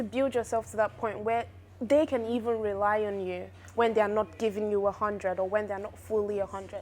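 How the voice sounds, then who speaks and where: A woman with an unremarkable speaking voice, fairly high in pitch, at a fairly quick pace. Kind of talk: casual conversation.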